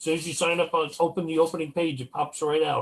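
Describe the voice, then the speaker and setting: A man's fairly high voice at a very fast pace, flat and monotone in intonation. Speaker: paranormal investigator. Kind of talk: casual chat. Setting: video call. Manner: loud, projects voice.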